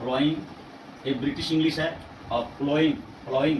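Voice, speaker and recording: A man's fairly high voice at a moderate pace, monotone and flat, with audible room echo and noticeable background noise. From Bihar, India. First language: Bhojpuri (speaking Hindi). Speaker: English language teacher. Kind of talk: tutorial. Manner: hesitant, with filler sounds and self-corrections.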